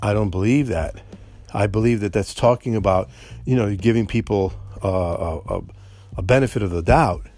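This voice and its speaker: With a dark, mellow tone and fairly low pitch, a man talks at a moderate pace with ordinary pitch variation and long, frequent pauses. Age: old. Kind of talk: solo commentary. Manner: halting.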